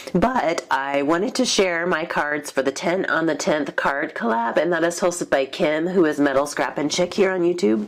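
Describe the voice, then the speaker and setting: Over noticeable background noise, a woman with a fairly low pitch talks at a moderate pace with lively intonation, very even loudness and hardly any pauses. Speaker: card-making YouTuber. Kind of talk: casual craft show-and-tell.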